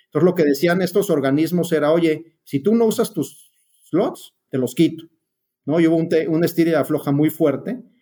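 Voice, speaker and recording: A man's dark, mellow voice, fairly high in pitch, at a moderate pace with ordinary pitch variation. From Mexico City. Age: 60s. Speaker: aviation consultant. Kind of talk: interview.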